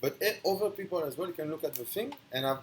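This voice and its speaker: With a strong non-native accent, a high-pitched man speaks at a fairly quick pace with lively intonation. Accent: strong foreign. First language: not English. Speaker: online speaker on philosophy. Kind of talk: philosophical monologue. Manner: halting.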